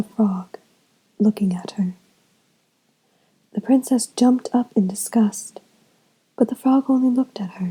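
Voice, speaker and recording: The voice is soft-spoken. Its pace is moderate. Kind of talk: bedtime story.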